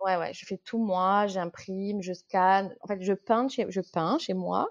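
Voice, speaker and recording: A woman at medium pitch with a slight Corsican accent, a very slow pace and a dry, close sound with no echo. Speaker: watercolour illustrator. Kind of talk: podcast interview. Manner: hesitant, many fillers; animated.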